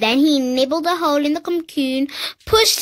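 A woman with a British accent uses a raised, projected voice. The background is quiet. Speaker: reader. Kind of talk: children's picture book reading. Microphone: phone near.

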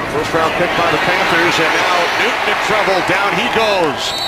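A moderate pace over loud background noise, in a dry sound with no echo. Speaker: play-by-play announcer. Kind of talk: live sports commentary, play-by-play. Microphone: headset.

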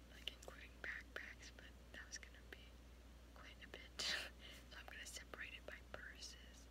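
At a moderate pace, a woman talks while noticeable background noise runs underneath. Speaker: ASMR creator. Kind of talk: ASMR show and tell. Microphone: phone near.

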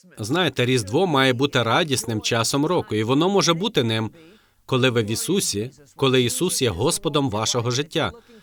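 A plain, everyday voice at a moderate pace with lively intonation. The recording is very clean, with a silent background. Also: man, medium pitch for a man. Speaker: co-host preacher. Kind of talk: sermon.

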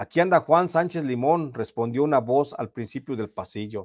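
In a very clean recording with a silent background and a dry, close sound with no echo, a man with a Mexican accent speaks at a medium pitch and a moderate pace, with ordinary pitch variation. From Mexico, Michoacán. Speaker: journalist and channel host. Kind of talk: storytelling narration of prison chronicle.

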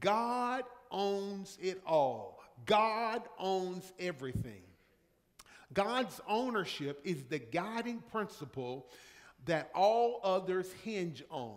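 At a very slow pace, a man speaks with very wide pitch swings. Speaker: pastor. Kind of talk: sermon. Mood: warm, anecdotal, emphatic. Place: church. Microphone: podium.

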